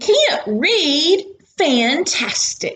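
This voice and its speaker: A put-on character voice with an enthusiastic tone and very wide pitch swings. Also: woman. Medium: read story. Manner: chirpy, enthusiastic.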